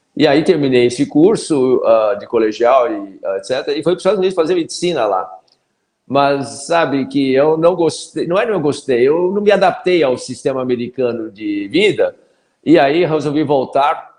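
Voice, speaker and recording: Moderate-tempo speech from a man, fairly high in pitch. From Brazil, São Paulo. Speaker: pediatrician. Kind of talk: interview. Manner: hesitant.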